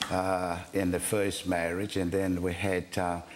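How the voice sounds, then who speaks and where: Very slowly, a man speaks with an American accent. His pitch is very deep and low, with audible room echo. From US South. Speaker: pastor. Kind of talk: interview testimony. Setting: studio.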